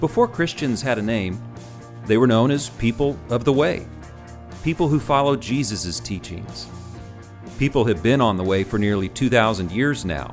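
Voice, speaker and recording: The intonation is lively, with music in the background. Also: man. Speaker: podcast host. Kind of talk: podcast intro read.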